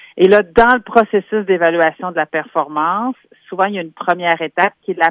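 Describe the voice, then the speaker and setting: Here a woman speaks in an unremarkable speaking voice at a medium pitch. Her pace is moderate and her pitch variation ordinary. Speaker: human resources specialist. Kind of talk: radio column interview.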